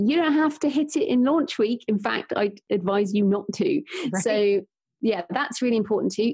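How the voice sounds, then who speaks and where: This woman, with a British accent, speaks at a moderate pace in a fairly high, somewhat breathy voice of dark, mellow tone and lively intonation. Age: 40s. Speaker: author and podcaster. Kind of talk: casual interview chat.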